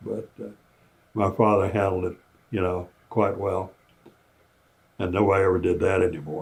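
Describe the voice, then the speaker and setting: The speaker is somewhat breathy, with an American accent and fairly even intonation. The pace is moderate, broken by long, frequent pauses. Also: man. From US South, Kentucky. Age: 90s. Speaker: war veteran. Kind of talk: testimony. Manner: halting.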